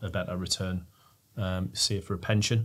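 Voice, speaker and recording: The speaker keeps a moderate pace and a fairly even intonation. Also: man. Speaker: panelist. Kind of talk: interview answer. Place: studio. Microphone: studio mic.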